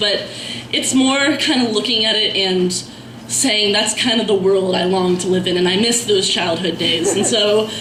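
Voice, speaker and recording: The speech moves at a moderate pace with very even loudness and ordinary pitch variation, over noticeable background noise. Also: woman. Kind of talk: casual introduction to audience. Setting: live open mic event.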